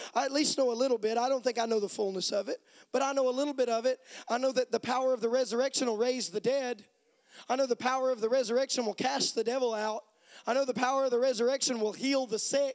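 Delivered at a very fast pace, the speech has a dry, close sound with no echo. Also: man, extremely high pitch for a man. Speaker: preacher. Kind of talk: sermon. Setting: church with congregation. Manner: animated; call-and-response, rhetorical questions.

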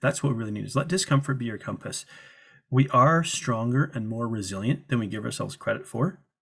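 Speaking at a fairly quick pace, a man with a somewhat breathy voice keeps a medium pitch and ordinary pitch variation. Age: 30s. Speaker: weight loss coach. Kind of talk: interview. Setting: remote call.

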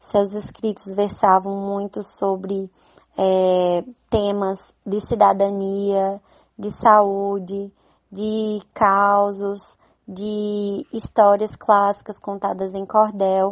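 A woman's medium-pitched, monotone voice at a very slow pace, in a strong northeastern Brazilian accent, with big swings in loudness and flat intonation. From Brazil, Northeast (Campina Grande, Paraíba). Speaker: poet and nurse. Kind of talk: interview.

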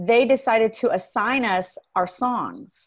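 Over a quiet background, a woman with an American accent speaks in an animated tone at fairly high pitch. Her intonation is lively. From Texas. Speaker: singer and performing artist consultant. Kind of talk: interview.

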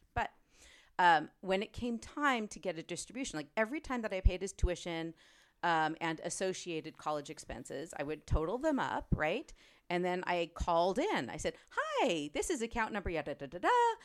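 With an unremarkable speaking voice, a woman at medium pitch uses lively intonation at a moderate pace in a very clean recording with a silent background. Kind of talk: interview. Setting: in person interview.

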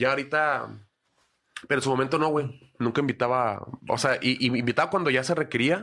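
Bright and sharp in tone, a man speaks at a fairly quick pace with ordinary pitch variation and very even loudness. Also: medium pitch for a man. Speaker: stand-up comedian. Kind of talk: casual chat.

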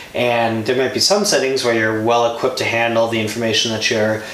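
A man's medium-pitched, monotone and flat voice in an American accent, with noticeable background noise. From Milwaukee, Wisconsin. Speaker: state politician. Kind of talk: interview conversation.

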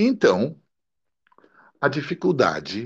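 The man's tone is dark and mellow, with a fairly high pitch. He speaks at a very slow pace. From Milan, Italy, raised in São Paulo. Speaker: poet, radio broadcaster and translator. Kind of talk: interview conversation.

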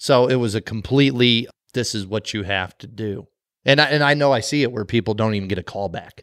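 Recorded very cleanly against a silent background, a man talks at a fairly quick pace with a plain, everyday voice, medium pitch and ordinary pitch variation. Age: 40s. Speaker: podcast co-host. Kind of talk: casual chat.

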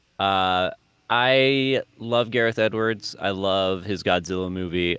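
This man has an unremarkable speaking voice, fairly low in pitch, with ordinary pitch variation. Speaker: podcast co-host. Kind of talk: casual chat.

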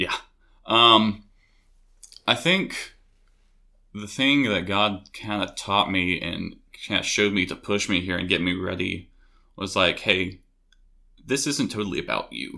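A man with a Tennessee accent speaks fairly slowly in a fairly low, bright and sharp voice, leaving long, frequent pauses. The recording is very clean, with a silent background. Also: ordinary pitch variation. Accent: Tennessee Southern US. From US South (Knoxville, Tennessee). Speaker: college student. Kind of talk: testimony.

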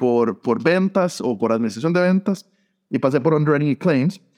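Lively in intonation, a man with a fairly high pitch talks at a fairly quick pace in a dry, close sound with no echo. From Costa Rica, San José. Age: 40s. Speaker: insurance tech blogger and recruiter. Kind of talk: interview. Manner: halting, many repeated words.

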